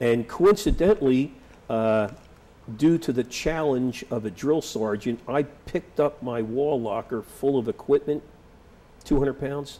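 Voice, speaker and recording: In a Philadelphia accent, the speaker uses a dark, mellow tone and lively intonation at a fairly slow pace. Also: man, fairly high pitch for a man. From Philadelphia, US. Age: 60s. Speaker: war veteran. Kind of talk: oral history interview. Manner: halting.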